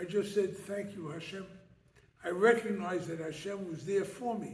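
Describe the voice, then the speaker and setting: With an American accent, a man talks at a moderate pace in a high voice with ordinary pitch variation, and room echo is audible. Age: 70s. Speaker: rabbi and lecturer. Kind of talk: lecture. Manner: animated, rhetorical questions.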